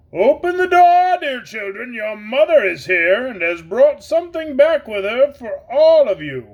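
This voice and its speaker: High-pitched put-on character voice, moderately paced. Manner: feigning sweetness.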